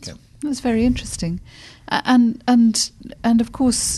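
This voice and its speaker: A woman speaks with a British accent. Her tone is dark and mellow. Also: quiet background. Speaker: podcast co-host, theologian. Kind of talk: casual discussion.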